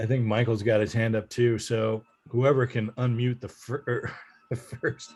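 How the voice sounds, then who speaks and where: Over music in the background, a man talks at a fairly slow pace with monotone, flat intonation. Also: medium pitch for a man. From Ohio, Dayton. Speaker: author. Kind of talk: presentation Q&A.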